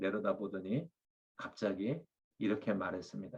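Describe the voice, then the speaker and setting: A man talks with typical pitch movement, his delivery neither fast nor slow. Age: 60s. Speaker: pastor. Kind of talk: sermon. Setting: webinar video.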